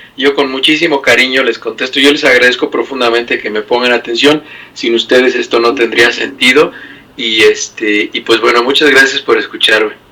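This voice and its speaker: Noticeable background noise runs under the speech. It moves at a moderate pace with fairly even intonation. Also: man, medium pitch for a man. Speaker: medical doctor. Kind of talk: medical explainer chat.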